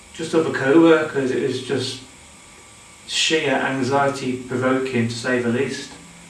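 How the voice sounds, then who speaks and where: Against noticeable background noise and audible room echo, a man talks at a fairly slow pace in a monotone, flat delivery. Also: medium pitch for a man. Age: 40s. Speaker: mental health nurse sharing personal story. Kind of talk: personal testimony. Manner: halting, with repetitions and fillers.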